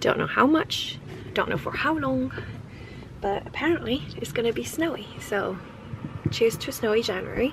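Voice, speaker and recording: A woman speaks at a moderate pace with long, frequent pauses, and noticeable background noise runs underneath. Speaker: lifestyle vlogger. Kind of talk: casual vlog talk. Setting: in a car.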